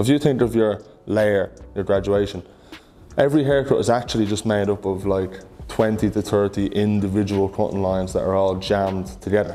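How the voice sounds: A man speaks at a moderate pace with fairly even intonation. His voice is fairly low in pitch, with a dark, mellow tone.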